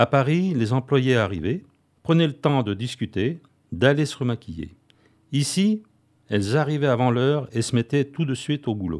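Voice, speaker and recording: On a very clean recording with a silent background, a man speaks at a medium pitch and a moderate pace, with very wide pitch swings and long, frequent pauses. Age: 80s+. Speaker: retired company administrator. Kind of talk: testimony.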